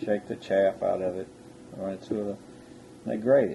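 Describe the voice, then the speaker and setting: Fairly low in pitch, this man speaks with an American accent. His tone is dark and mellow. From Texas (Katy area). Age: 60s. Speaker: rice farmer. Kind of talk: oral history interview. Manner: halting.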